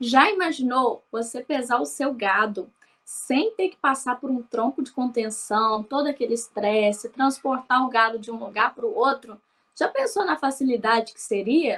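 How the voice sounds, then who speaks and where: Lively intonation and an animated tone come from a high-pitched woman. She speaks at a fairly slow pace. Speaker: livestock program host. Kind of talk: scripted presentation; interview.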